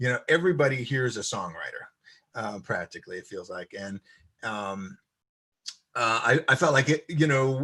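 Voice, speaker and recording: This speaker has an American accent with ordinary pitch variation. The pace is moderate. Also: man. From US East Coast. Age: 60s. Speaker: violinist and composer. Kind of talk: interview. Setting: live-streamed video chat. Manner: hesitant, many fillers.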